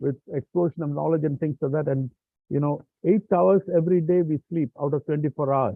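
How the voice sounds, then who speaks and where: This man has a plain, everyday voice, pitched fairly high. He talks at a fairly quick pace with ordinary pitch variation. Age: 60s. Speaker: professor, session moderator. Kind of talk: closing remarks at online symposium.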